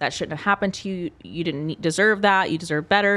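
With a normal speaking voice, a woman talks at a medium pitch and keeps her intonation fairly even. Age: 30s. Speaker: fitness coach and bikini competitor. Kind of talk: casual chat.

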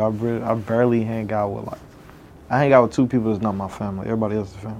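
A man talks at a very fast pace with fairly even intonation. His loudness swings widely. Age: 20s. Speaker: podcast co-host. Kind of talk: casual chat. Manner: quiet, low-spoken.

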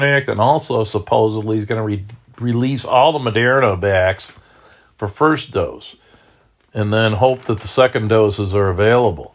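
Recorded very cleanly against a silent background, a man with a plain, everyday voice speaks at medium pitch and a moderate pace with ordinary pitch variation. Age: 60s. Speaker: finance video blogger. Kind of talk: solo commentary reading news. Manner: casual, with frequent fillers.

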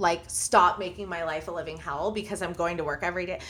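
At a fairly quick pace, a woman with an American accent speaks in an unremarkable speaking voice with ordinary pitch variation. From US Midwest, Indiana. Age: 30s. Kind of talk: casual chat.

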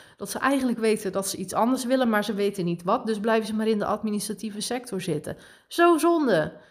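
A woman speaks very fast with lively intonation and a fairly high pitch. The recording is very clean, with a silent background. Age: 30s. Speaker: podcast host and spiritual coach. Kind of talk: casual monologue.

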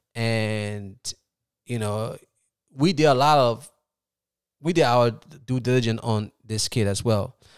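A man at a medium pitch with an American accent, a very slow pace, long, frequent pauses, and ordinary pitch variation. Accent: Liberian with Philadelphia American English. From Liberia, then Philadelphia from youth. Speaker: soccer academy founder. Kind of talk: interview.

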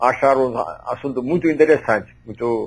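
A man speaking at a fairly slow pace. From India, Kerala. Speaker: astrologer. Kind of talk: interview. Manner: halting.

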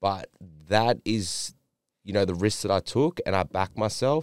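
Pitch variation is ordinary and the pace moderate. The sound is dry and close with no echo, on a very clean recording with a silent background. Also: man. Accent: Australian. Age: 20s. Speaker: wellness and fitness coach. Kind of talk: casual chat. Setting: studio.

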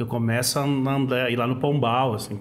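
Audible room echo around a moderate pace and fairly even intonation. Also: man. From southern Brazil, Porto Alegre. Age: 40s. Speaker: rapper. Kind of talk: casual interview chat.

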